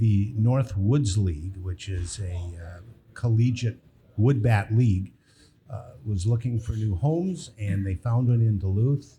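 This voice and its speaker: At a fairly slow pace, a man speaks in a fairly low, somewhat breathy voice with a dark, mellow tone and ordinary pitch variation. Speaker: baseball team owner. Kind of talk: live podcast interview. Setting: brewery with live audience. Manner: soft-spoken.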